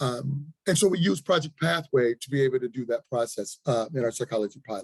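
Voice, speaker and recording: A somewhat breathy, medium-pitched male voice with lively intonation at a very fast pace, dry and close with no echo. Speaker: health department official. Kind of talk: presentation at a public listening session.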